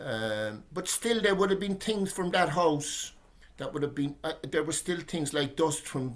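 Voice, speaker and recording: A man speaks in a Cork accent with lively intonation. His pace is fairly slow. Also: fairly high pitch for a man. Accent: Cork Irish. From Ireland, Cork. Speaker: poet. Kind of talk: casual discussion. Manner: halting, many repetitions.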